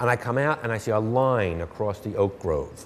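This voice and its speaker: With a Philadelphia accent, a man talks using lively intonation. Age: 50s. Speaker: playwright. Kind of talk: interview.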